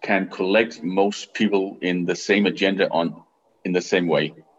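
A man with a Danish accent and a fairly low pitch. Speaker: business angel network CEO. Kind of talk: interview. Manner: halting.

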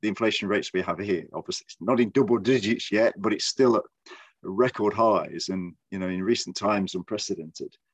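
A man speaks with an English Midlands accent. The sound is dry and close, with no echo. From Midlands, England. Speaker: podcast host. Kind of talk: casual chat.

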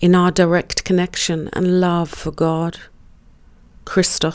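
A woman with a fairly low pitch speaks very slowly in a solemn tone, on a very clean recording with a silent background. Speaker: prayer reader. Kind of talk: fervent spiritual prayer read aloud. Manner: solemn, reverent; slow, devotional, incantatory cadence.

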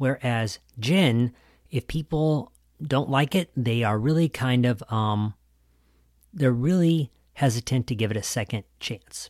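An ordinary speaking voice from a man with an American accent, medium pitch, ordinary pitch variation and a fairly slow pace, dry and close with no echo on a very clean recording with a silent background. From US Midwest. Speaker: podcast host. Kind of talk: interview podcast.

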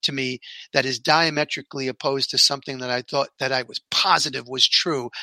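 A man talks at a fairly quick pace in a New York accent. His medium-pitched voice has a bright, sharp tone and a dry, close sound with no echo. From New York City. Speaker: podcast host.

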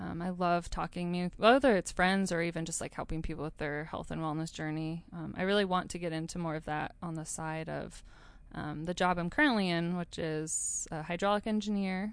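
An ordinary speaking voice from a woman with an American accent, fairly low-pitched and fairly quick, with fairly even intonation over a quiet background. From northern Idaho. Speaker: wellness advocate. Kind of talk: casual chat.

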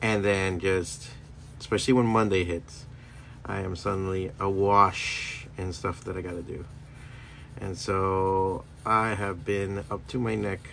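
Very deep, low male voice in a relaxed tone, fairly slow and fairly even in intonation, with long, frequent pauses, big swings in loudness, audible room echo and noticeable background noise. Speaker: stand-up comedian and podcaster. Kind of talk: casual solo monologue. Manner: meandering, relaxed.

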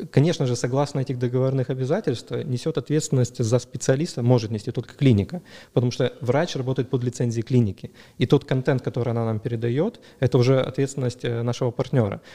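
A man's very fast speech at medium pitch, with fairly even intonation. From Crimea, Ukraine (Dzhankoy). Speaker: entrepreneur, founder of a medical booking service. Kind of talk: interview.

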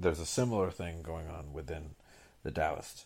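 A somewhat breathy man with a very deep, low pitch and ordinary pitch variation, at a fairly quick pace, on a very clean recording with a silent background. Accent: American. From US Northeast (Boston). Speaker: podcaster, former lawyer and English teacher. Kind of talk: personal narrative monologue. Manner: halting.

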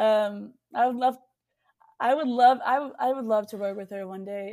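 A woman with a Texan accent and a dark, mellow tone speaks at a moderate pace, with ordinary pitch variation and big swings in loudness. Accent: Texan American. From Texas. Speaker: singer-songwriter and producer. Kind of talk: casual interview chat.

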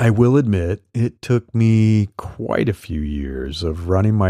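A man speaks at a fairly low pitch with a dark, mellow tone and ordinary pitch variation. The recording is very clean with a silent background and a dry, close sound with no echo. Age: 50s. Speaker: solopreneur coach and newsletter podcaster. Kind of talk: solo podcast monologue reading newsletter.

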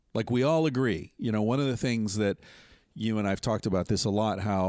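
Recorded very cleanly with a silent background, a man with an American accent has a plain, everyday voice, a fairly low pitch, and ordinary pitch variation. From US, western Pennsylvania. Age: 50s. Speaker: author and podcast host. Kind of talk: casual chat. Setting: outdoors on a trip in Mexico.

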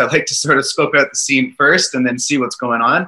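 A man with a fairly high pitch speaks in a bright, sharp tone. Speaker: gym studio owner and fitness coach. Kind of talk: casual interview chat. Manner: relaxed, laughs often.

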